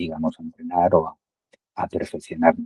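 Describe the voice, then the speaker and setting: A man speaks with a dark, mellow tone and lively intonation. The sound is dry and close with no echo. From Spain, Madrid. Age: 60s. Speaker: amateur padel player, client testimonial. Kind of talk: testimony interview. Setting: call. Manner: halting, many fillers and repetitions.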